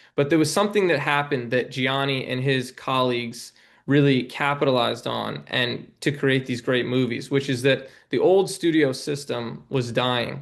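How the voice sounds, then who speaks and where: With an ordinary speaking voice, a man talks at a medium pitch and a moderate pace, his pitch varying in an ordinary way. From New York City. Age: 20s. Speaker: documentary filmmaker. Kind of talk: podcast interview.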